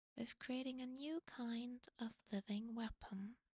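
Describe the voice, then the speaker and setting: A woman's somewhat breathy, dark, mellow voice sits at a fairly high pitch with fairly even intonation, recorded with a dry, close sound with no echo. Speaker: vtuber streamer. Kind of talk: casual talk to camera.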